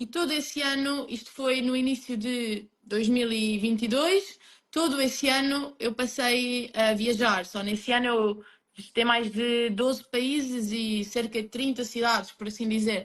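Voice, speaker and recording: With a Lisbon accent, a woman speaks at a high pitch, with fairly even intonation and a fairly slow pace. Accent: European Portuguese, Lisbon. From Portugal, Lisbon. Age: 20s. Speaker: emigrant interviewee. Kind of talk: interview.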